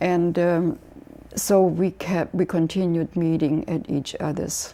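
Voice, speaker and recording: A woman speaks with a German accent at a very slow pace. Her pitch is fairly low and her intonation fairly even. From Germany, Hanover. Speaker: memoir author. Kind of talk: interview. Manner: halting.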